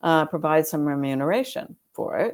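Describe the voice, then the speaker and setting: A woman speaks with an American accent. The recording is very clean with a silent background. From United States. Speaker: law professor. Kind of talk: interview.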